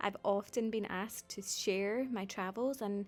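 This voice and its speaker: A woman with a Scottish accent, medium in pitch, with ordinary pitch variation. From Scotland. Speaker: travel vlogger. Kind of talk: travel vlog narration.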